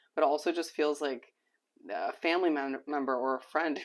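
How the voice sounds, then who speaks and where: A man does a put-on character voice, raspy and fairly high in pitch, with monotone, flat intonation. He goes at a fairly quick pace over a quiet background. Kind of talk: conversational. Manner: slight stutter, hesitant.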